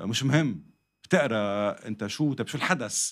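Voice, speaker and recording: With ordinary pitch variation, an unremarkable speaking voice proceeds at a fairly slow pace. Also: man. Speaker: podcast guest. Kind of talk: interview answer. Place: studio. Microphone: studio mic.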